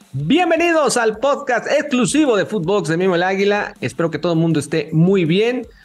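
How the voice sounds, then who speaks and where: An animated tone with very wide pitch swings, a moderate pace and hardly any pauses, with music in the background. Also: man, high pitch for a man. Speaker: sports podcast host. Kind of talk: casual interview.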